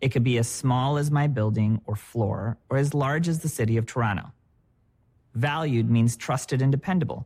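Somewhat breathy and medium in pitch, a man talks at a moderate pace on a very clean recording with a silent background. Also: ordinary pitch variation. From Michigan, US (moved from India at seven). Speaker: head of product. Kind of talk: corporate presentation.

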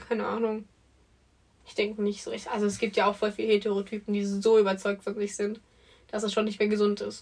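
A woman speaks at a medium pitch and a fairly quick pace, her intonation flat and monotone. She leaves long pauses, and often. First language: not German (speaking German). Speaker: podcast co-host. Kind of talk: casual chat.

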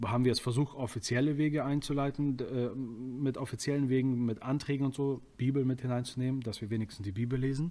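A man's medium-pitched voice, dark and mellow in tone, at a fairly quick pace on a very clean recording with a silent background. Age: 20s. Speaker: prison ministry volunteer. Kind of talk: casual interview.

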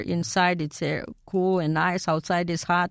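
A woman's monotone, flat delivery in a Romanian accent at a fairly slow pace. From Romania (Bucharest). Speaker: immigrant guest. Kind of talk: interview. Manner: halting.

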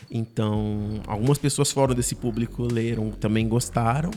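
A man with a plain, everyday voice, medium in pitch, at a moderate pace. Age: 30s. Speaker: writer and scriptwriter. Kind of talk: interview.

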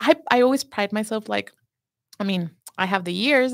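A Spanish accent with ordinary pitch variation, in a dry, close sound with no echo. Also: woman. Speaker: pastry chef. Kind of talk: casual chat.

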